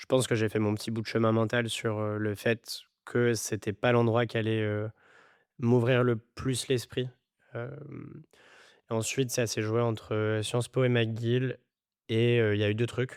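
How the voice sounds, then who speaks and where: In a very clean recording with a silent background, a man speaks at a fairly slow pace in a flat monotone, with long, frequent pauses. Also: medium pitch for a man. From France, Grenoble and Madagascar. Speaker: startup CEO. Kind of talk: podcast interview. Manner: hesitant, many fillers.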